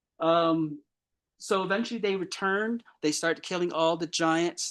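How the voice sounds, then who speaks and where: Speaking in an ordinary speaking voice at a fairly high pitch, a man keeps a moderate pace against a quiet background. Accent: American. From Chinle, Arizona. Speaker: Navajo storyteller. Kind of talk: lecture storytelling to live audience.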